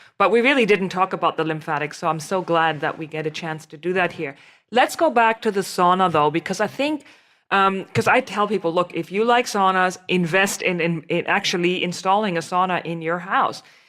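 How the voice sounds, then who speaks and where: A woman with a German accent talks at a fairly quick pace in a medium pitch. The recording is very clean, with a silent background. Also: ordinary pitch variation. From Germany. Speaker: podcast host, naturopathic physician. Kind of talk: interview conversation.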